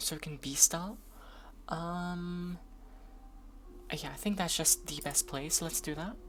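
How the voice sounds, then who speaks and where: A woman with a Norwegian accent speaks at a fairly slow pace, leaving long, frequent pauses. Her fairly low voice is somewhat breathy, with fairly even intonation. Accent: non-native English, Norwegian. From Norway. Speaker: streamer. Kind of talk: gaming commentary. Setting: live stream. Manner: casual, hesitant with fillers.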